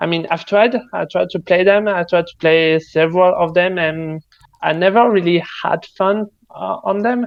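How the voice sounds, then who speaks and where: In a French accent, a man speaks at a moderate pace with high pitch and fairly even intonation. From France. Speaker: game developer. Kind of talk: casual chat.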